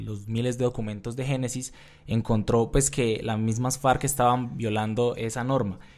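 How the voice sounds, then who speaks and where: This man speaks at a medium pitch. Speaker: journalist. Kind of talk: news podcast discussion. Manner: halting, many filler sounds.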